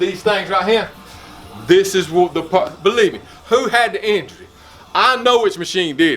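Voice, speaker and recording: A man with a South Carolina accent talks in a high pitch, with big swings in loudness and long, frequent pauses. Music plays in the background. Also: ordinary pitch variation, moderate pace. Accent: Southern US (South Carolina). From South Carolina, US South. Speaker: vlogger. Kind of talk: casual chat. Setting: home gym. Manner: animated.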